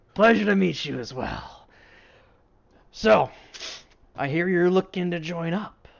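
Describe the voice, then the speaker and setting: A man's put-on character voice, high in pitch, fairly slow, broken by long, frequent pauses. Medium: actual play. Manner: casual, hearty.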